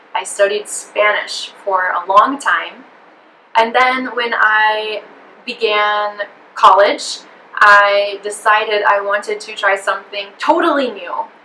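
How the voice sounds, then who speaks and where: At a very slow pace, a woman speaks at a fairly high pitch with ordinary pitch variation and big swings in loudness over noticeable background noise. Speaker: English teacher. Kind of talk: interview answer.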